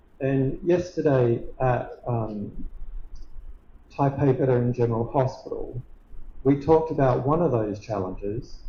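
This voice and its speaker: With an Australian accent, a man talks at a very slow pace in a fairly high, somewhat breathy voice with ordinary pitch variation, and audible room echo surrounds him. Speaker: professor. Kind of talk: lecture.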